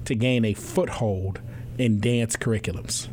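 A man talks at a moderate pace with an American accent. His pitch is medium, and there is noticeable background noise. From US Northeast, New York City. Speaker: university president and podcast host. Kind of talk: interview conversation; scripted introduction.

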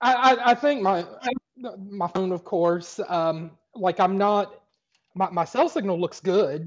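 Speaking at a very slow pace, a man with a high pitch uses ordinary pitch variation. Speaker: caller. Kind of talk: casual chat. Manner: halting.

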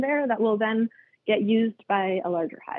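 A woman talks at a moderate pace with ordinary pitch variation in a plain, everyday voice. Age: 30s. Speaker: beekeeper and queen rearing educator. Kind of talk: interview.

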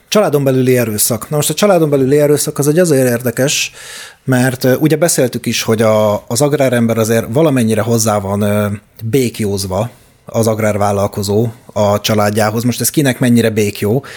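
In an ordinary speaking voice, a man talks at a fairly quick pace, his pitch medium with ordinary pitch variation. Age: 30s. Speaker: podcast co-host. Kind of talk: casual chat.

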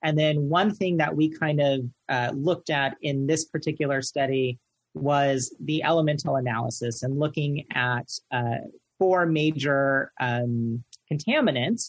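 At a fairly slow pace, a man with a fairly high, somewhat breathy voice speaks with ordinary pitch variation. The sound is dry and close with no echo, over a quiet background. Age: 30s. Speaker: veterinary technician and lecturer. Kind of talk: interview.

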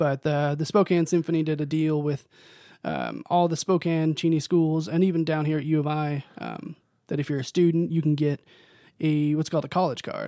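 A man talks in a fairly high, dark and mellow voice with monotone, flat intonation at a moderate pace. The recording is very clean, with a silent background. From US Pacific Northwest, western Washington. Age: 20s. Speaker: tuba player, music graduate student. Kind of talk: casual interview chat. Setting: studio.

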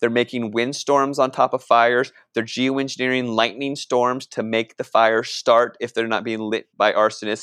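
A man with an American accent talks at a moderate pace and medium pitch, with hardly any pauses and a monotone, flat intonation. The sound is dry and close with no echo, over a quiet background. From Northern Virginia, US. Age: 40s. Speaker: activist and filmmaker. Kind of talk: podcast interview.

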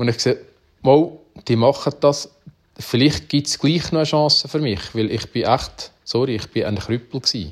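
The voice is somewhat breathy, with a Uri accent. The recording is very clean, with a silent background. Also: man, fairly high pitch for a man, ordinary pitch variation, moderate pace. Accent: Uri Swiss German dialect. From Switzerland, canton Uri. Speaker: farmer and cattle breeder. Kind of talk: interview, personal story.

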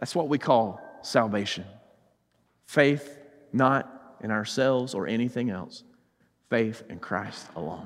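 With a Southern US accent, a man at medium pitch speaks at a fairly slow pace with lively intonation and long, frequent pauses. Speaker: preacher. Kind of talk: sermon. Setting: church.

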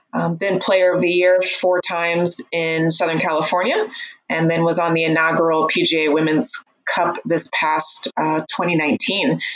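A fairly slow, fairly even delivery in an American accent, with very even loudness throughout. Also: woman, fairly low pitch for a woman. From US Midwest, Missouri. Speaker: golf coach and psychotherapist. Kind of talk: interview.

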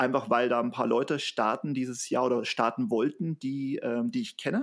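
The recording is very clean with a silent background, and a man speaks at a moderate pace. His is a plain, everyday voice, fairly high in pitch with lively intonation. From Bavaria, Germany. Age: 30s. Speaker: trail runner and social business founder. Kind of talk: casual interview.

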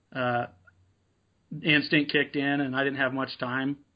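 With an American accent, a man with a fairly high pitch speaks in a monotone, flat intonation. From Nevada, US. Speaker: apparel business owner and hunter. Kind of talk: interview.

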